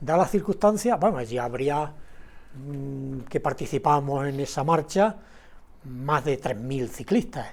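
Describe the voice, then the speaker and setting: A man's fairly high voice at a very slow pace, with lively intonation. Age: 70s. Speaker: writer and painter, former legionnaire. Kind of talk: casual interview.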